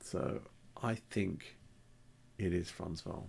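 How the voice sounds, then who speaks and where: Soft-spoken, a man talks at a very slow pace. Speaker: antiques YouTuber. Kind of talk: casual video commentary. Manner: halting.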